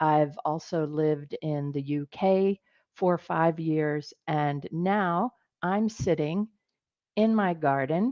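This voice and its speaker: Speaking at a very slow pace, a woman has a very deep, low pitch and an American accent. Her pitch varies in an ordinary way. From United States. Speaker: business executive, presenter. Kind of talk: webinar presentation. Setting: online webinar from home office in garden. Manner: many filler words, hesitant.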